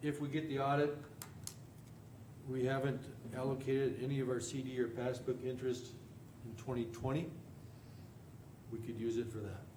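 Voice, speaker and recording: A man talks fairly quickly at a medium pitch in a flat monotone, with long, frequent pauses. Room echo is audible, and background noise is noticeable. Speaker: county commission chairman. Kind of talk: public meeting discussion.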